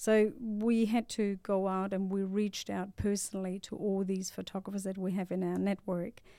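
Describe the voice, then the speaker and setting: The voice is monotone, with flat intonation and a dark, mellow tone. It moves at a moderate pace. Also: woman, very clean recording, silent background. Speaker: startup founder. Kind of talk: interview. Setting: studio.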